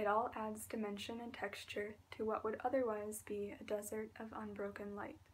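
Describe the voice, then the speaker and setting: Over noticeable background noise, a woman with a fairly high pitch talks at a moderate pace in a monotone, flat intonation with hardly any pauses. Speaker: ASMR artist. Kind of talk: ASMR reading aloud. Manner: soft-spoken.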